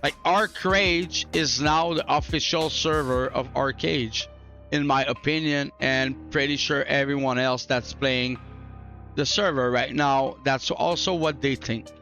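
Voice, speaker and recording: A man speaks at a fairly slow pace in a fairly high pitch, his loudness very even and his pitch varying in an ordinary way, with music playing in the background. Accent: non-native. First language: not English. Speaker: gaming YouTuber. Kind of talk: casual talk to camera. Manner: casual, chill.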